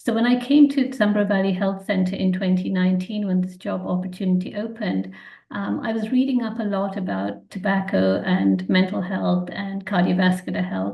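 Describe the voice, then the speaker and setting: With audible room echo, a woman with an English accent speaks at a moderate pace with hardly any pauses. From England, London. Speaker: physician. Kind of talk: webinar presentation. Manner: hesitant, frequent ums.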